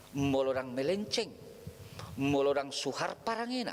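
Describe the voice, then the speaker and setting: Very wide pitch swings from a man speaking at a moderate pace. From North Sumatra, Batak homeland. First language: Batak Toba (speaking Indonesian). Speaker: preacher. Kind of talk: sermon.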